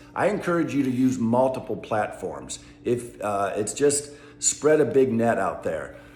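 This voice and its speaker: Room echo can be heard around a man's voice. His pitch varies in an ordinary way. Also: medium pitch for a man, fairly slow pace. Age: 60s. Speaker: travel vlogger. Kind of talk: casual vlog monologue. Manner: conversational, many fillers.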